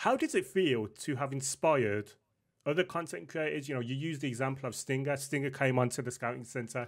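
On a very clean recording with a silent background, a man talks at a fairly quick pace. He has an unremarkable speaking voice, fairly high in pitch, with ordinary pitch variation. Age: 30s. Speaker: podcast host. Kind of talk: casual interview chat.

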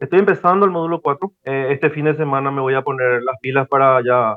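At a fairly quick pace, a man talks at medium pitch. His pitch variation is ordinary. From Paraguay. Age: 40s. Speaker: operations manager and online course student. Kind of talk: mentoring conversation. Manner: halting, many fillers.

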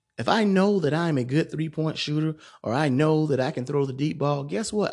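Over a quiet background, a man with an ordinary speaking voice talks at a moderate pace, fairly high in pitch and with lively intonation. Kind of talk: solo monologue podcast.

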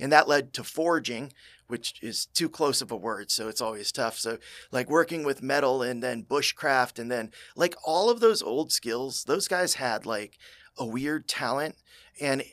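A man with an ordinary speaking voice, medium pitch and lively intonation at a moderate pace, on a very clean recording with a silent background. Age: 40s. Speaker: construction technology consultant. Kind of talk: casual interview chat.

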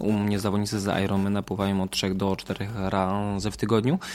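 A man talks at a fairly quick pace in a fairly low pitch. The recording is very clean, with a silent background. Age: 30s. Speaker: triathlon coach, former professional triathlete. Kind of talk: casual interview. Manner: hesitant, many fillers.

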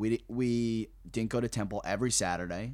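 Very clean, with a silent background, this recording has a man with an American accent and an ordinary speaking voice. He speaks at a fairly quick pace with a medium pitch and fairly even intonation. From New Jersey. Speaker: comedian. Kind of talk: casual chat.

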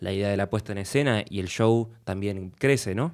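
In an Argentine accent, a man talks at a moderate pace with ordinary pitch variation on a very clean recording with a silent background. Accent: Rioplatense Argentine Spanish. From Argentina. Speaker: music producer. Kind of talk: casual interview.

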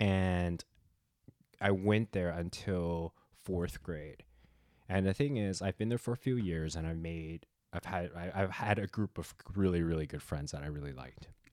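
A man speaks in a very deep, low voice with ordinary pitch variation, recorded dry and close with no echo against a silent background on a very clean recording. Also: moderate pace. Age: 30s. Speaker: podcast co-host. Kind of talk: casual chat.

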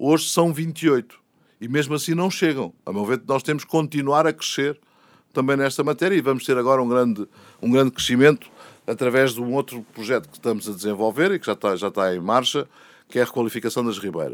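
Big swings in loudness mark a man's fairly quick delivery in a normal speaking voice. The sound is dry and close, with no echo. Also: medium pitch for a man, lively intonation. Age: 60s. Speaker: mayor, politician. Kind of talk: interview.

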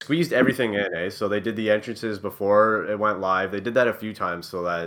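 The man has a fairly low pitch and a bright, sharp tone, with a Canadian accent. He talks at a fairly quick pace on a very clean recording with a silent background. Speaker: wrestling podcast co-host. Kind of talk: casual chat.

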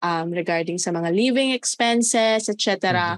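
A woman's bright, sharp tone at a fairly slow pace, dry and close with no echo, over a quiet background. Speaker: podcast co-host. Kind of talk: casual chat.

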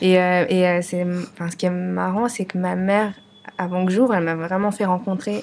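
Speaking at a fairly slow pace, a woman with a medium pitch talks in a monotone, flat intonation over noticeable background noise. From France, of Vietnamese parents. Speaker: restaurant owner. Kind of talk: casual interview conversation. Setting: studio, filmed podcast.

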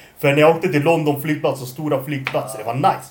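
Noticeable background noise and audible room echo accompany a man whose voice sits fairly high. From Norway, moved to Sweden at 12. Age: 20s. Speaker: podcast host. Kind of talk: casual chat.

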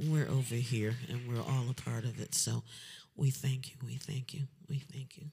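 A dark, mellow tone comes at a moderate pace, somewhat breathy. The intonation stays fairly even. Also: woman, very deep, low pitch for a woman. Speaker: singer performing at a fundraiser concert. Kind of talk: casual, warm.

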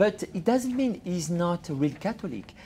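The speaker has a French accent. The pace is fairly slow. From France. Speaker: journalist and author. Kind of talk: interview. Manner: halting.

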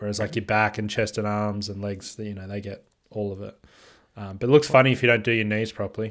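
A man with an Australian accent talks at a very fast pace in a fairly low pitch, with big swings in loudness, on a very clean recording with a silent background. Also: fairly even intonation. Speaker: podcast co-host. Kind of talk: casual chat.

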